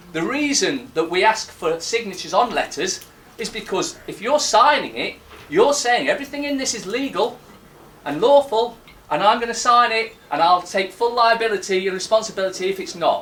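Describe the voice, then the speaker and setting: A loud voice with lively intonation at a moderate pace, over noticeable background noise. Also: man, high pitch for a man. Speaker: conference speaker. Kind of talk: public talk. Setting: stage with audience. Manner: halting.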